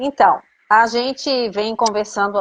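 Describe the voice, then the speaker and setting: In a normal speaking voice, a woman talks at a fairly high pitch with ordinary pitch variation. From Brazil, Florianópolis. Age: 50s. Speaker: psychoanalyst in training, live host. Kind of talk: casual chat.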